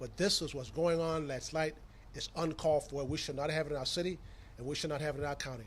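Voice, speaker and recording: A man with an American accent talks at a very fast pace in a somewhat breathy, fairly high-pitched voice with monotone, flat intonation and audible room echo. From US South, Tampa, Florida. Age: 60s. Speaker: county commission chairman. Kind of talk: press conference statement.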